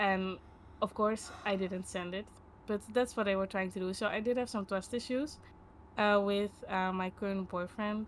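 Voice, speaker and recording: Speaking at a moderate pace, a woman keeps a medium pitch and fairly even intonation. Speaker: podcast guest sharing personal story. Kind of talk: personal testimony in interview. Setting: live stream podcast. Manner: hesitant, many fillers.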